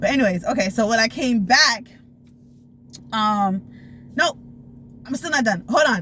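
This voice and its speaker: A woman speaks with a fairly high pitch, lively intonation and an animated tone. Her speech has long, frequent pauses over noticeable background noise. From Florida. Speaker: storytime vlogger. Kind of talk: casual storytelling. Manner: fast.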